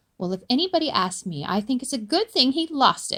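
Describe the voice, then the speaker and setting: Using a put-on character voice, a woman speaks at a fairly quick pace with a high pitch. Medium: read story.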